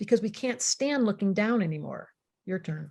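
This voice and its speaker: A woman is speaking. Her pace is fairly quick. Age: 60s. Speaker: astrologer and psychotherapist. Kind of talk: talk to an online group. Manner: animated.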